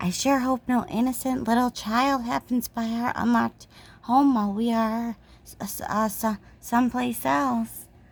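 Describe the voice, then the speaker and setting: A put-on character voice, female-sounding and fairly high, at a moderate pace. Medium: read story.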